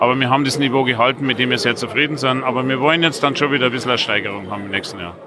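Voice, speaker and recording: A man talks very fast with hardly any pauses, at a medium pitch with ordinary pitch variation. Noticeable background noise runs under his voice. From Passau, Bavaria. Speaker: beer competition organiser. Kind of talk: interview at a trade fair. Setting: trade fair.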